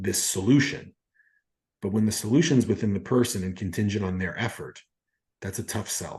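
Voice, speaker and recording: A man talks with ordinary pitch variation. His tone is dark and mellow, and somewhat breathy. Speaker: podcast host, coach. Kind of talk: podcast interview questions.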